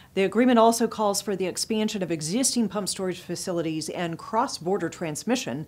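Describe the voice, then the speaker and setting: A woman talks at a fairly quick pace with lively intonation. Music plays in the background. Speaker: news presenter and publisher. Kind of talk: formal news reading, scripted headlines delivered in a steady, polished broadcast style. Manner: formal, measured and even-paced, crisp and neutral like a broadcast anchor; clear, businesslike, brisk transitions between stories. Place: studio. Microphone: lapel.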